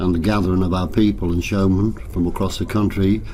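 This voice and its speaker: A man speaks at a moderate pace with a very deep, low pitch. His intonation stays fairly even, and the room echo is audible. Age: 80s+. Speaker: travelling showman. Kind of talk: interview. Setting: at a fairground.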